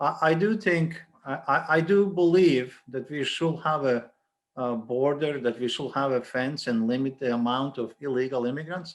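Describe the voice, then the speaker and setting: A man's fairly high voice with a non-native accent and ordinary pitch variation. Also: moderate pace. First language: not English. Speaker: college dean. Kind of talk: panel discussion. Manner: halting, many repeated words.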